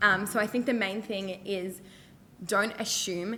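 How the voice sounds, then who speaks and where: A woman with an Australian accent and fairly even intonation. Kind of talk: panel discussion. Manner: loud; many fillers.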